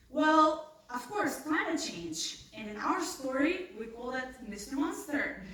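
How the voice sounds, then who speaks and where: A woman with a high pitch and lively intonation speaks at a very slow pace, with hardly any pauses. Noticeable background noise and audible room echo fill the recording. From North Macedonia. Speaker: scientist. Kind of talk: pitch presentation.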